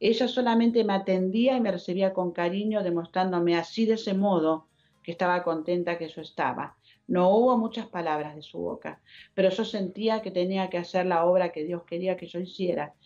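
A woman's medium-pitched voice in an Argentine accent, moderate in pace with ordinary pitch variation, faint music in the background. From Argentina. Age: 70s. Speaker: speaker. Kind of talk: testimony. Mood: earnest, emotional, faith-filled. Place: home room. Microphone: video call.

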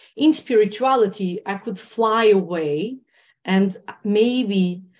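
A woman speaks with a Portuguese accent. The background is quiet. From Portugal. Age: 40s. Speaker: trauma healing and meditation teacher. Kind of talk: interview. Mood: earnest, reflective. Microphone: video call.

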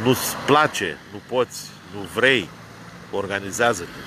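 An animated man with ordinary pitch variation, dry sound with no echo and noticeable background noise. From Romania, Brăila; Romania. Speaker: vlogger, political commentator. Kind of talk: rant / monologue. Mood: argumentative, critical. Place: car. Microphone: phone near.

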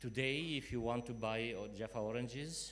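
A man of medium pitch with a fairly bright tone, ordinary pitch variation and a moderate pace

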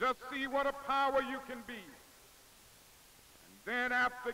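A man's extremely high, raised, projected voice in an American accent, monotone and flat, at a moderate pace over light background noise. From Southern United States. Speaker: civil rights leader, minister. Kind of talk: political speech to a crowd. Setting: outdoor rally, archival news film. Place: open country. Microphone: podium.

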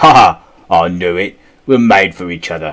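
A man growls in a put-on character voice with a very deep, low pitch. He speaks at a moderate pace. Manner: growling, playful.

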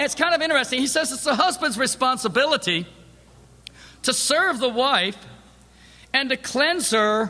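This man talks in a raised, projected voice at an extremely high pitch, with lively intonation and a moderate pace. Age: 50s. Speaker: preacher. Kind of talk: sermon. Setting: church.

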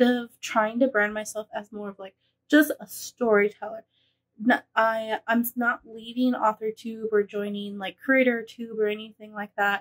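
Her pace is moderate. The woman's intonation stays monotone and flat. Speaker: vlogger. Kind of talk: casual vlog chat. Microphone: phone near.

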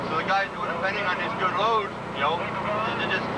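A man talks at a moderate speed over heavy background noise. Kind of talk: interview answer. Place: car. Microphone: old recording.

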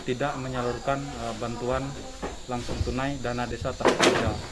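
Loud background noise nearly surrounds the voice of a man as he talks. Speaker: village official. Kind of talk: public statement. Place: street.

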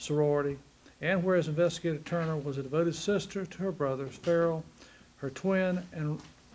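A man's fairly quick, monotone delivery with flat intonation and light background noise. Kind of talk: formal reading of a resolution. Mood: solemn memorial tone. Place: meeting room.

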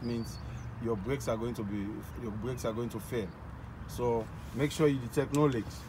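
Against noticeable background noise, a man talks at a fairly quick pace in a somewhat breathy voice. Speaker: truck driving inspection demonstrator. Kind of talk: tutorial. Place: street. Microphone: phone near.

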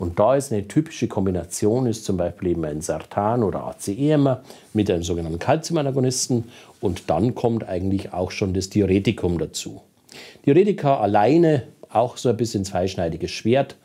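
In a Bavarian accent, a man speaks at a moderate pace with a fairly low pitch, a dark, mellow tone and lively intonation. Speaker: cardiologist. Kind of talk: lecture. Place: studio. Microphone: lapel.

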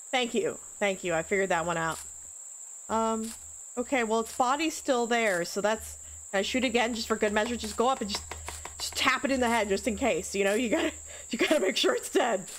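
At a fairly quick pace, a woman speaks with fairly high pitch and ordinary pitch variation. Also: fairly bright tone.

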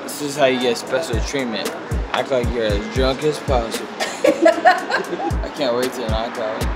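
Music sits in the background as the speech unfolds at a fairly slow pace. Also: man. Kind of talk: casual vlog chat. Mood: relaxed, joking. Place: car.

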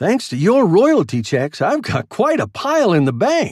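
A man does a put-on character voice at a high pitch, moving fairly slowly through very wide pitch swings, his tone slightly mellow with a slightly husky edge. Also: very clean recording, silent background.

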